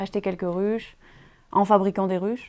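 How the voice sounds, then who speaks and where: Speaking at a medium pitch, a woman has a dark, mellow tone and fairly even intonation. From France, Drôme. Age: 20s. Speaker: beekeeper. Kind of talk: interview testimony. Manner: hesitant, many fillers.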